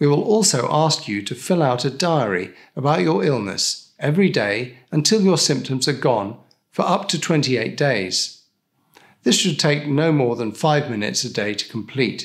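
A man speaks with very wide pitch swings against a quiet background. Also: moderate pace. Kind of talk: scripted explainer. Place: studio.

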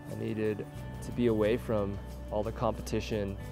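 With music in the background, a man with a fairly low voice speaks at a fairly quick pace. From Los Angeles, California. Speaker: ecologist, climate scientist; rock climber. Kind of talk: documentary interview answer. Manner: soft-spoken.

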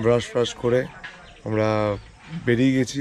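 Light background noise surrounds a man whose voice sounds dry, with no echo. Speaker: travel vlogger. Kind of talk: casual vlog chat. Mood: mildly complaining, relaxed. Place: garden. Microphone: phone near.

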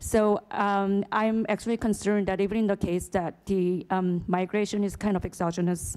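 The background is quiet as a woman speaks in a Korean accent. Her tone is dark and mellow, with fairly even intonation. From South Korea. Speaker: economist, conference participant. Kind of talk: academic Q&A comment. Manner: halting, many fillers. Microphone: podium.

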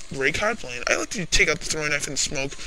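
A man speaks over noticeable background noise. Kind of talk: casual gaming commentary over gameplay. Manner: casual, rambling, jokey.

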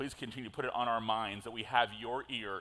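Fairly even intonation runs through this clip. The man speaking goes at a very fast pace. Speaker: pastor. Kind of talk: sermon. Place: church. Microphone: headset.

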